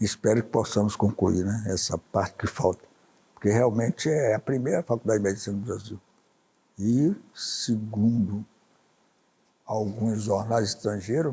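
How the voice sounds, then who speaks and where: A man's fairly low, somewhat breathy voice with a dark, mellow tone moves at a fairly slow pace with fairly even intonation. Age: 80s+. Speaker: businessman and journalist. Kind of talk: interview answer.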